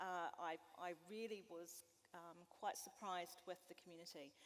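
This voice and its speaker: A woman at a medium pitch speaks with a New Zealand accent. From West Coast, South Island, New Zealand. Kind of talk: panel discussion. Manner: hesitant, many fillers.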